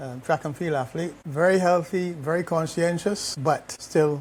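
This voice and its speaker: Somewhat breathy, a man talks at a moderate pace. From Barbados. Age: 60s. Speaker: retired corporate executive, cancer survivor. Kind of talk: interview testimony. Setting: sitting together in Barbados.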